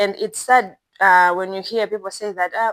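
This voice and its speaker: A woman with a Malawian accent talks at a fairly quick pace and medium pitch, her intonation fairly even, on a very clean recording with a silent background. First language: Chichewa. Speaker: doctor. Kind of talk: health advice vlog.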